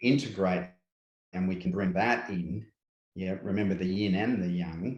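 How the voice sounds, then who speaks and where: A man with an Australian accent speaks at a moderate pace, his very deep, low pitch showing ordinary pitch variation. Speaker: spiritual guide, workshop presenter. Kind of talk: interview.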